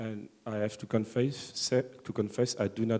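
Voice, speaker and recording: A man speaks with a French accent at a fairly low pitch. His tone is dark and mellow. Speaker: audience member, online wine seller. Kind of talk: audience question. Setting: conference hall with audience. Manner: halting.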